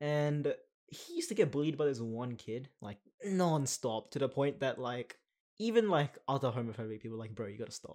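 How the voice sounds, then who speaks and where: With an Australian accent, a man talks at a fairly quick pace. His pitch is fairly high and his intonation lively. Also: big swings in loudness. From Western Sydney, Australia. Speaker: podcast co-host. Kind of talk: casual chat. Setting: recording in a broom closet.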